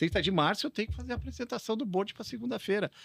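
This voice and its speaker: Dry and close with no echo, a man's voice swings very widely in pitch. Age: 60s. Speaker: retail technology consultant. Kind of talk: podcast interview. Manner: casual, conversational.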